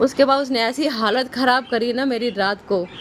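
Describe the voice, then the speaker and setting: A loud, high-pitched woman's voice with ordinary pitch variation over noticeable background noise. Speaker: vlogger, mother. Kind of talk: casual family vlog chat.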